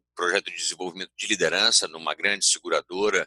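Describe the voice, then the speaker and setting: The voice comes in a Bahian accent, with a dry, close sound and no echo. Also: man. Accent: Bahian Brazilian Portuguese. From Bahia, Brazil. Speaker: organizational culture consultant, speaker. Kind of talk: conference talk. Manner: hesitant fillers, self-corrections.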